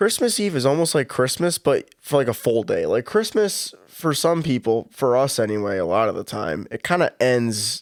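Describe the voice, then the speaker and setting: A man talks at a moderate pace in a medium pitch, his pitch swinging very widely with hardly any pauses. The recording is very clean, with a silent background and a dry, close sound with no echo. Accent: Western New York. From Buffalo, New York. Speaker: podcast co-host. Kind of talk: casual chat.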